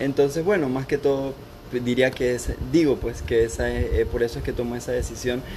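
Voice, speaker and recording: Here a man talks at a moderate pace. Noticeable background noise sits behind him. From Panama (born in Costa Rica). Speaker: doctor training in internal medicine. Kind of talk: casual chat.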